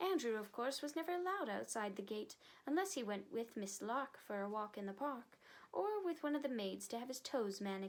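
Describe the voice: Lively intonation in plain reading aloud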